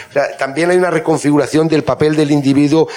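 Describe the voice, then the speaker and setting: There is noticeable background noise in this recording. A man talks with a Spanish accent. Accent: Spanish (Spain). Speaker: journalist and panel moderator. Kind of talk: moderated panel discussion. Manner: halting, many repetitions.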